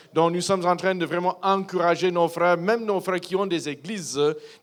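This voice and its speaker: A man's high-pitched voice with an English accent. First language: English (speaking French). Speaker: missionary pastor. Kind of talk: church address / testimony. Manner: halting, many hesitations.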